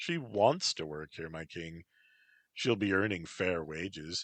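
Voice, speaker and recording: Over a quiet background, a man uses a put-on character voice with a very deep, low pitch and big swings in loudness. He goes at a fairly slow pace, and the sound is dry and close with no echo. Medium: read story. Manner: calm, formal, deferential.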